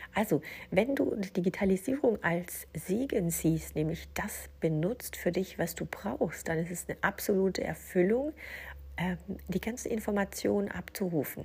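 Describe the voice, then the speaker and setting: Her pace is fairly slow and her intonation lively. The woman's medium-pitched voice carries vocal fry. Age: 40s. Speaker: podcast host and business coach. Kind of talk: solo podcast monologue.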